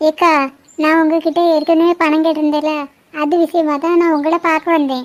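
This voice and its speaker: Using a cartoonish character voice, a woman speaks at an extremely high pitch and a moderate pace, with monotone, flat intonation and very even loudness. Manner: polite, deferential.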